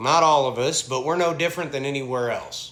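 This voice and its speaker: The voice moves at a fairly quick pace with a Southern US accent. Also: man. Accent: Southern American. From American South. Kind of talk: casual talk to camera.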